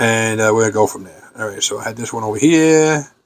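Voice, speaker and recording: A man talks with a New York accent. His pitch varies in an ordinary way. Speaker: model railroad hobbyist youtuber. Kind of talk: tutorial.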